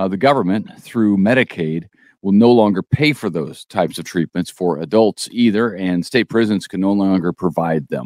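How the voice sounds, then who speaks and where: A man with fairly low pitch and ordinary pitch variation speaks with hardly any pauses in an unremarkable speaking voice. The sound is dry and close with no echo, over a quiet background. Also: moderate pace. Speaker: news podcast co-host. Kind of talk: casual news chat.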